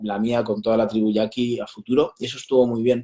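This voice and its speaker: A man talks at a fairly quick pace. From Spain, Valencia. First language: Valencian (Catalan) (speaking Spanish). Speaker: documentary film director. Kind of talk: interview. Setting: live stream.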